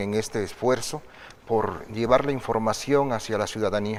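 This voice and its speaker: Fairly even intonation and a moderate pace mark an unremarkable speaking voice. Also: man. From Oaxaca, Mexico. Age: 50s. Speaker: political candidate. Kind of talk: broadcast interview. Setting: studio.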